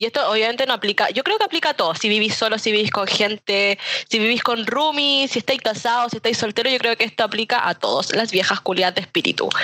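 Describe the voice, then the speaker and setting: At a very fast pace with hardly any pauses, a woman with a fairly high pitch and ordinary pitch variation speaks at very even loudness, the sound dry and close with no echo but with noticeable background noise. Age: 20s. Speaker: podcast panelist. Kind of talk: casual chat.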